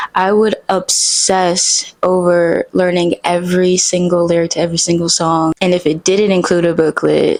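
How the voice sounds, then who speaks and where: Soft-spoken and fairly low-pitched, a woman talks at a moderate pace in a flat monotone, her loudness very even and hardly any pauses in between. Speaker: singer-songwriter. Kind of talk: casual vlog monologue. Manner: casual, hesitant with fillers.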